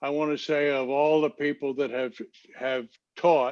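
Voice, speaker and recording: A man's fairly high voice, fairly slow in pace, with monotone, flat intonation. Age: 80s+. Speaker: class participant. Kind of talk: casual chat. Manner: halting.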